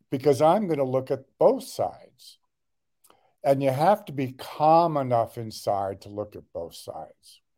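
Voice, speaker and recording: Speaking with an American accent, a man uses a dark, mellow tone and lively intonation at a fairly slow pace. His loudness swings widely. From Los Angeles, US. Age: 70s. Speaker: doctor and light therapy entrepreneur. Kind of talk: interview.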